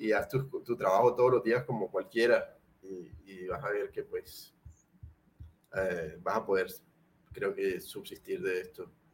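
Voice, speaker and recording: Leaving long, frequent pauses, a man talks fairly slowly. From Colombia, Cartagena. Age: 30s. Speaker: painter. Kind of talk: casual interview chat.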